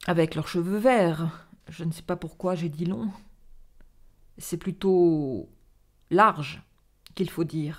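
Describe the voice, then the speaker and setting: A woman with a fairly low pitch speaks very slowly, with ordinary pitch variation. She takes long, frequent pauses against a quiet background. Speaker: storyteller reading a theatrical monologue. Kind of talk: dramatic narration of a monologue, read aloud. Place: home room. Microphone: studio mic.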